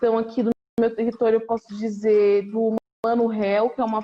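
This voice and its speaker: This woman's voice has a dark, mellow tone. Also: dry, close sound with no echo. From São Paulo North Zone, Brazil. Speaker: visual artist and art educator. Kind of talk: casual interview. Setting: video call.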